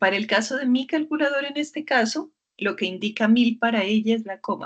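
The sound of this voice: A woman speaks at a fairly quick pace. Her pitch is fairly high. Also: ordinary pitch variation.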